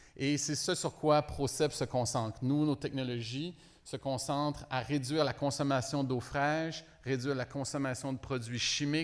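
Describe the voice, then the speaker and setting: The speaker has a strong French-Canadian accent. Delivery is fairly slow with fairly even intonation. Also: man. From Quebec, Montreal. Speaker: company executive. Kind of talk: business presentation.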